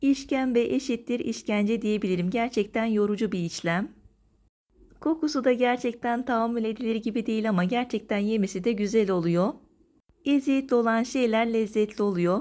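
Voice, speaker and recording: Using a dark, mellow tone, a woman talks at a moderate pace and a fairly high pitch with ordinary pitch variation. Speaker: cooking vlogger. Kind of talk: tutorial. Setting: outdoors. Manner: energetic.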